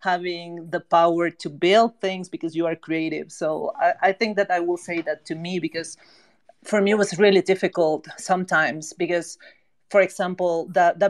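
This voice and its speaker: A woman's fairly low-pitched voice with fairly even intonation, the sound dry and close with no echo. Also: moderate pace. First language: not English. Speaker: NFT project co-founder. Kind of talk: casual chat. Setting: online audio space.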